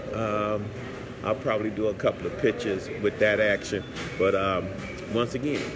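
The speech moves at a moderate pace with noticeable background noise. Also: man. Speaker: travel vlogger. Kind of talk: casual vlog chat. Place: cafe. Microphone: lapel.

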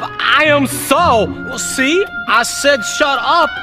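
A man does a put-on character voice at an extremely high pitch, speaking at a very slow pace with ordinary pitch variation while clear music plays in the background.

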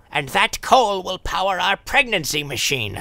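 High for a man, the pitch of this put-on character voice makes big swings, with vocal fry and a bright, sharp tone. He talks at a fairly slow pace.

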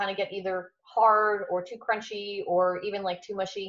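A woman speaks in a fairly high pitch with a monotone, flat intonation. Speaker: host of group call. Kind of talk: casual group chat. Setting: video call. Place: home room. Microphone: video call.

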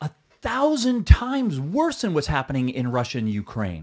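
The pitch swings very widely. Behind the voice, the background is quiet. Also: man. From Quebec, Canada. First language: Mohawk. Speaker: stuntman and actor. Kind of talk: podcast interview answer. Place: studio. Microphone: studio mic.

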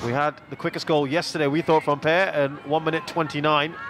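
Music plays behind a man whose fairly high voice carries an animated, excited tone. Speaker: football commentator. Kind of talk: live football match commentary, play-by-play. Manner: animated, fast play-by-play delivery, excited at the goal.

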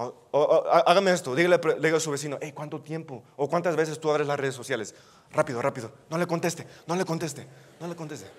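The delivery is very fast. Its intonation stays fairly even. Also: man. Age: 20s. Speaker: youth preacher. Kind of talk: sermon. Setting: church. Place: hall.

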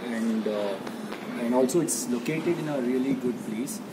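Loud background noise surrounds a voice speaking at a moderate pace with ordinary pitch variation. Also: man. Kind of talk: testimonial interview answer. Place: cafe. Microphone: phone near.

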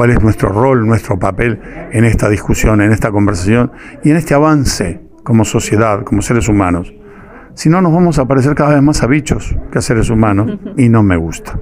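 A man talks fairly quickly, with faint music behind him. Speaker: stage actor interviewed about play. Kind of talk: interview answer. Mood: earnest, reflective. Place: home room. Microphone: handheld.

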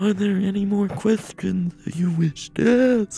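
A female-sounding voice performs a put-on character voice at a medium pitch and a fairly slow pace. Faint music plays in the background. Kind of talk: monotone. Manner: robotic, flat, mechanical.

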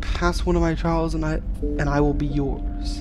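A raspy, put-on character voice speaks at a fairly slow pace. Loud background noise runs underneath.

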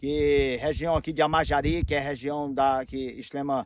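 A man's fairly high voice, an ordinary speaking voice, with fairly even intonation at a moderate pace, in a dry sound with no echo and a quiet background. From Roraima, Brazil. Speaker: real estate broker. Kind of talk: interview. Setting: outdoors. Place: open country.

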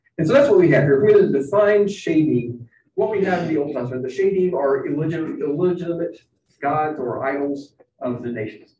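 In a room with audible echo, a man with an American accent speaks at a fairly quick pace in a fairly high pitch, his tone dark and mellow and his intonation lively. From Kentucky, Bowling Green. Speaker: professor of biblical studies. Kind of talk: lecture.

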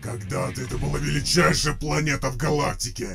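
A man's put-on character voice, raspy and medium in pitch. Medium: audio drama. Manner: rousing, defiant, oratorical.

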